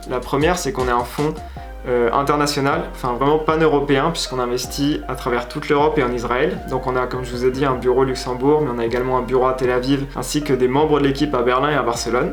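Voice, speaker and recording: Amid noticeable background noise and audible room echo, a man talks at a fairly quick pace, medium in pitch with fairly even intonation. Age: 20s. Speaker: venture capital analyst. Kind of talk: casual explainer video. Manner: hesitant, many fillers. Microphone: slight echo, old mic.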